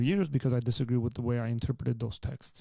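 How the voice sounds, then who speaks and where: A man's medium-pitched voice with a dark, mellow tone and an Armenian accent, very fast pace, very clean recording with a silent background. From Armenian culture. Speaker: pastor. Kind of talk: live Q&A advice.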